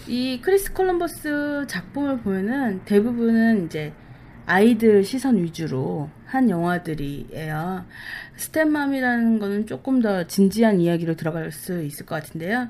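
A woman's dark, mellow tone at medium pitch, fairly slow pace and very wide pitch swings. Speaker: podcast co-host. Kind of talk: casual chat. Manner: tongue-tied today.

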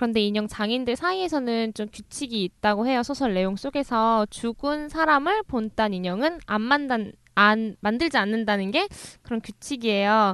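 Against a quiet background, a woman with a normal speaking voice talks at a moderate pace, her pitch fairly high and her intonation lively. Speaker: book-loving co-host. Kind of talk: casual chat.

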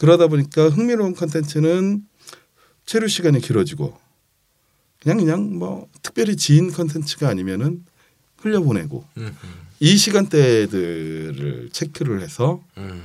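A man with a fairly high pitch talks at a fairly slow pace, his pitch swinging very widely between long, frequent pauses. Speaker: social media marketing expert. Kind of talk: casual podcast discussion.

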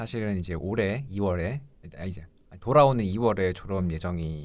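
A man with a fairly low pitch talks in a plain, everyday voice, his pitch varying in an ordinary way. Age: 20s. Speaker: pharmacy school applicant, student. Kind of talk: casual chat.

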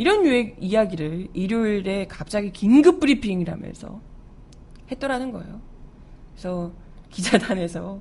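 A woman's animated tone at a moderate pace. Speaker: radio news show host and announcer. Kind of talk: news commentary. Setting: studio. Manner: loud.

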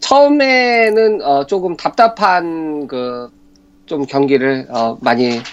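Pitched fairly high, the man's voice swings very widely from high to low. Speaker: sports commentator. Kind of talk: radio sports talk.

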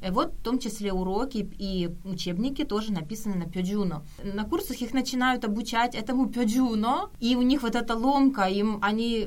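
A woman with a fairly high pitch speaks at a moderate pace and ordinary pitch variation amid audible room echo. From Kyiv, Ukraine. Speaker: Korean language helper living in Korea. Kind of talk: casual radio interview.

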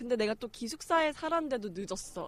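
Speaking at a fairly quick pace, a woman with a fairly high pitch uses an animated tone and very wide pitch swings. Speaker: podcast panelist. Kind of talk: casual chat.

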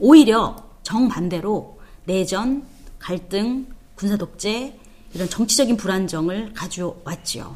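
Audible room echo surrounds a woman of medium pitch who speaks at a very slow pace with ordinary pitch variation. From South Korea. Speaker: theology professor. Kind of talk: lecture.

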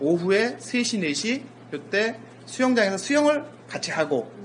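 With noticeable background noise behind him, a man talks in very wide pitch swings. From South Korea, rural area. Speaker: sports scientist and lecturer. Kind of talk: casual interview.

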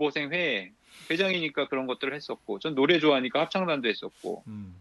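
A man with a plain, everyday voice speaks at a fairly high pitch with lively intonation. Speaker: pastor and church history lecturer. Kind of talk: lecture-style discussion.

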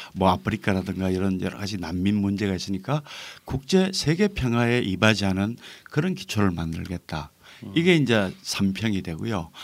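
On a very clean recording with a silent background, a man with a plain, everyday voice talks at a moderate pace in a fairly low pitch with ordinary pitch variation. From North Gyeongsang, South Korea. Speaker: novelist. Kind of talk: podcast interview.

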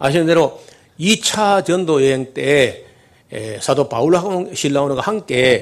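A man's lively intonation at a very slow pace. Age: old. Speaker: pastor. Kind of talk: sermon.

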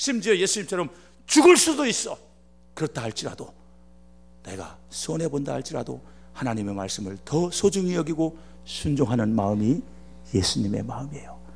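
This man speaks at a moderate pace in a fairly high pitch, with very wide pitch swings, big jumps in loudness, long and frequent pauses, and music playing in the background. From Korea, Chungcheong Province. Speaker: pastor. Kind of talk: sermon.

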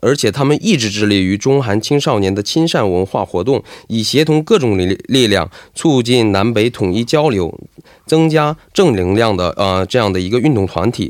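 Lively intonation from a man at medium pitch and a moderate pace. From Heilongjiang, China (ethnic Korean). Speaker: graduate student and student association president. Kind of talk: radio interview. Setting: radio studio. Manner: halting, many filler sounds.

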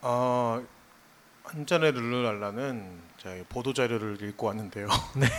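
Speaking at a medium pitch, a man leaves long, frequent pauses. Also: ordinary pitch variation, fairly slow pace. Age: 30s. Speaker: designer and music fan. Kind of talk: casual chat. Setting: live stage with audience.

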